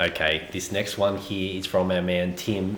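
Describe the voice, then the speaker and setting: A man with an Australian accent and fairly low pitch, against noticeable background noise. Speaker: homesteading YouTuber. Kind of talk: casual vlog.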